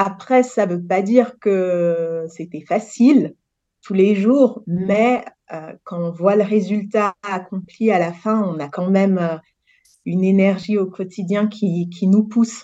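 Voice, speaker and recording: A woman of medium pitch speaks very slowly in a dark, mellow tone. Her pitch rises and falls in an ordinary way. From Senegal. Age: 30s. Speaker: project manager in real estate. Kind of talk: interview testimony.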